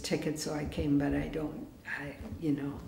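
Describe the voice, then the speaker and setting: A woman's very deep, low voice carries audible room echo. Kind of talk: teaching talk with storytelling. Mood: calm, warm. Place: church.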